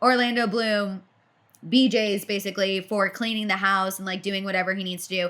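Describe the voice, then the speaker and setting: A woman talks loudly at a fairly quick pace. Her tone is animated. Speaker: pop culture podcast co-host. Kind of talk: casual chat.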